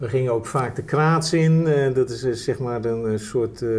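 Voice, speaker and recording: Very slow male speech amid noticeable background noise. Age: 50s. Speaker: tech entrepreneur. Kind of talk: interview. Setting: office. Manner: halting.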